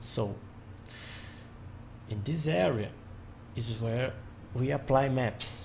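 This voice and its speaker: A man with a Portuguese accent speaks with vocal fry and ordinary pitch variation amid noticeable background noise. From Brazil. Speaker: software tutorial maker. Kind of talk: tutorial. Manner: halting. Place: home room. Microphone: webcam.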